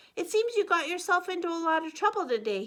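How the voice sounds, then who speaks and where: A woman's squeaky put-on character voice at an extremely high pitch, with lively intonation and a very fast pace. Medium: read story.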